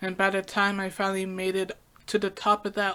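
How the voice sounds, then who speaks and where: In a very clean recording with a silent background, a woman with a slight British accent speaks at a moderate pace and medium pitch, her tone bright and sharp. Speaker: podcaster. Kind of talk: personal podcast monologue.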